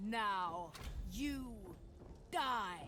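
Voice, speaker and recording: A put-on character voice, fairly high-pitched and menacing, over clear background noise. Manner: menacing, cold.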